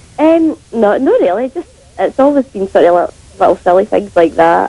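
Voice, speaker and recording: Over noticeable background noise, a woman talks at a moderate pace and medium pitch, her voice swinging very widely in pitch. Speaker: phone-in caller. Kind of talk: radio phone-in answers.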